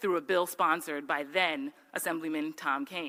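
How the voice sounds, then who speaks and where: With an American accent, a woman speaks at a fairly low pitch in a bright, sharp tone with ordinary pitch variation. Her pace is fairly quick, and the recording is very clean, with a silent background. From New Jersey. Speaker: judicial nominee, lawyer. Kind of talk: acceptance speech. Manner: formal.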